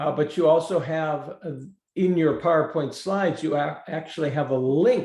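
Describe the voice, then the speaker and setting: His pace is moderate. The man's tone is dark and mellow. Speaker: prevention program trainer. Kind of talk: webinar presentation. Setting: online webinar.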